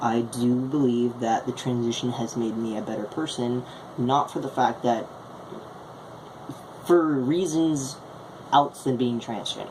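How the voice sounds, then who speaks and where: A woman with a very deep, low pitch and ordinary pitch variation speaks at a fairly slow pace, with long, frequent pauses and noticeable background noise. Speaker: vlogger. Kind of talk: video blog monologue. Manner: halting.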